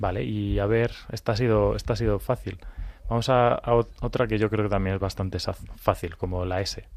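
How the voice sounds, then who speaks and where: A man's fairly low voice, an ordinary speaking voice, with fairly even intonation and a moderate pace. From Madrid, Spain. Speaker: children's ministry volunteer. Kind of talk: children's radio programme.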